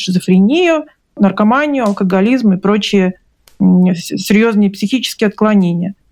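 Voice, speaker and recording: Music plays in the background as a woman speaks at a moderate pace. Her pitch is medium, with ordinary pitch variation. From Russia. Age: 40s. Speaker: book publisher and author. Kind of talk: interview testimony.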